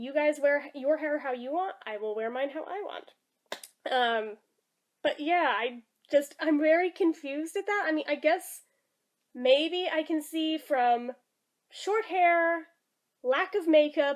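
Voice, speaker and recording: A high-voiced woman speaks at a fairly slow pace with long, frequent pauses, ordinary pitch variation and big swings in loudness. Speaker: vlogger. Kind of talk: vlog monologue. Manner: animated.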